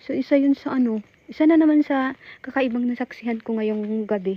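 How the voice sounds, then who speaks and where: Recorded dry and close with no echo, a woman speaks at a moderate pace in a high pitch with ordinary pitch variation. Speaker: cemetery explorer vlogger. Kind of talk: live vlog narration. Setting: outdoors in cemetery at night. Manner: whispering.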